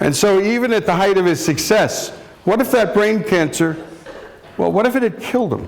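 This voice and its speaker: A high-pitched man at a moderate pace, with very even loudness, ordinary pitch variation and noticeable background noise. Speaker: radio host and executive. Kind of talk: lecture to students.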